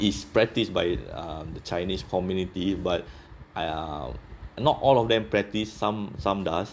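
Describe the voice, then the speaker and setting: With a very deep, low pitch, a man speaks at a fairly slow pace with ordinary pitch variation. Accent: Singaporean. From Singapore. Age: 30s. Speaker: office worker interviewed about his country. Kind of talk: casual interview chat. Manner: halting, many fillers.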